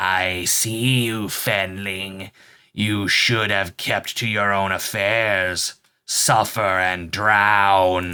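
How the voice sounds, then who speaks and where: Over faint music, a man uses a hissing put-on character voice at a fairly low pitch, speaking at a very slow pace with monotone, flat intonation. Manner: hissing, menacing.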